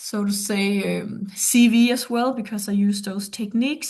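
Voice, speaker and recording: A woman with a somewhat breathy, medium-pitched voice speaks over a quiet background. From Denmark. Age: 50s. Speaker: performance coach. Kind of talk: presentation. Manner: halting.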